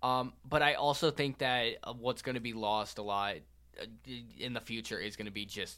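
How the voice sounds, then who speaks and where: At a moderate pace, a man talks at medium pitch in a bright, sharp tone with ordinary pitch variation, on a very clean recording with a silent background. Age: young. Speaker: student sports podcast host. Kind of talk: casual chat.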